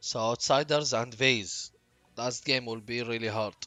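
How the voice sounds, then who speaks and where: A man with a Gulf Arabic accent speaks at a fairly slow pace, his medium pitch showing ordinary variation. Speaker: streamer. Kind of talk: casual chat. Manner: halting.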